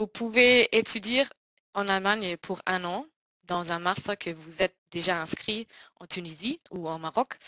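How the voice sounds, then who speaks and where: In a dry, close sound with no echo, a woman with a German accent speaks at a fairly slow pace in a medium pitch, with a bright, sharp tone, ordinary pitch variation and big swings in loudness. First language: German (speaking French). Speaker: scholarship program presenter. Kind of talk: online information seminar presentation. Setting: online webinar. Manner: halting, many hesitations.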